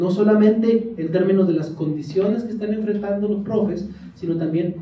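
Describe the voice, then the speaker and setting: In a Mexican accent, a man speaks at a fairly quick pace. Audible room echo surrounds his voice. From Mexico. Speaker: education researcher. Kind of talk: lecture.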